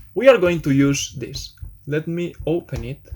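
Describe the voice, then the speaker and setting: Talking at a fairly slow pace, a man speaks in a Spanish accent. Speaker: programming tutor. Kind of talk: tutorial. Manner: casual, hesitant with fillers.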